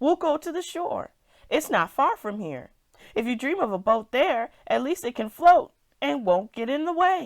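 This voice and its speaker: A woman puts on a character voice with a high pitch. She speaks at a moderate pace on a very clean recording with a silent background. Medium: read story. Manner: calm, practical.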